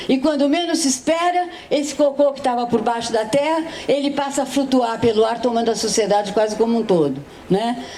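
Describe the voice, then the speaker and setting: A woman with a high-pitched voice speaks at a fairly quick pace, with noticeable background noise and audible room echo. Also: ordinary pitch variation. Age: 70s. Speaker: philosopher, panel speaker. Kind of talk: panel talk at a literary festival.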